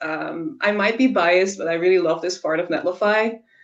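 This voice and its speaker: A woman speaks with a Dutch accent. Her pace is moderate and her pitch varies in an ordinary way. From Netherlands. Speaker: software engineer. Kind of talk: tech demo presentation.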